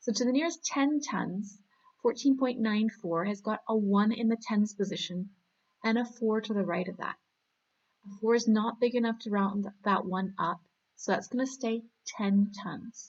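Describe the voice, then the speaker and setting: With a Canadian accent, a woman speaks at a moderate pace and a fairly high pitch, somewhat breathy and with ordinary pitch variation. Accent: Canadian accent, sounds American to some. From Canada. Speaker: maths teacher. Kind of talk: tutorial. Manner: animated.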